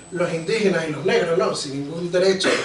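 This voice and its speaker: Speaking with a Caribbean Spanish accent, a man uses a high pitch. Audible room echo and noticeable background noise accompany him. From Venezuela. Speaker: history popularizer. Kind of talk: round-table talk. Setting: hall with audience.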